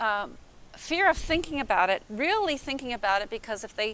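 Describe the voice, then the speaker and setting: A woman with an American accent speaks in a high voice at a moderate pace. Her intonation is lively. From Minnesota. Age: 70s. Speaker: convention attendee. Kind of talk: interview. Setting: convention. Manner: halting.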